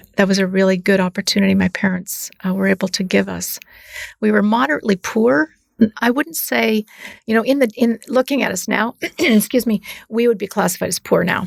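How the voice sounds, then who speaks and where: A woman talks fairly quickly in a normal speaking voice at medium pitch, with ordinary pitch variation. The sound is dry and close, with no echo. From northern Canada. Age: 60s. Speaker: business professor. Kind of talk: podcast interview. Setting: studio sound booth.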